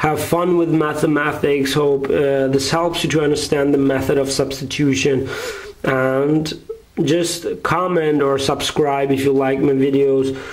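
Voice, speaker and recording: Speaking with a German accent, a man uses a fairly high pitch and flat, monotone intonation at very even loudness, with audible room echo and noticeable background noise. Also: fairly slow pace. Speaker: math tutor. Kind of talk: tutorial. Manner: halting.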